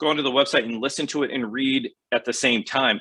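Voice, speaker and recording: A bright, sharp tone comes through over a quiet background. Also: man. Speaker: podcast host, retail consultant. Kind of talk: solo podcast advice talk. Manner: fast; casual, many filler words.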